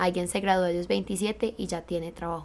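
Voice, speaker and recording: Against a silent background in a very clean recording, a woman speaks at medium pitch and a fairly quick pace in a monotone, flat intonation. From Colombia. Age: 20s. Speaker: university student. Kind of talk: casual chat.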